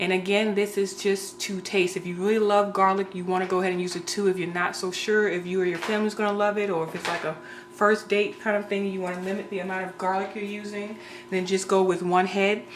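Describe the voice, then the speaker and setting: Very fast and monotone, a woman speaks with flat intonation at medium pitch. Audible room echo and noticeable background noise surround her voice. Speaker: home cook video creator. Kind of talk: cooking tutorial.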